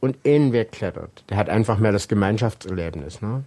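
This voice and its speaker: Here a man speaks at a moderate pace with ordinary pitch variation. The background is quiet. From Saxony, Germany (Saxon Switzerland). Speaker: rock climber and climbing instructor. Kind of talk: interview. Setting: at his home.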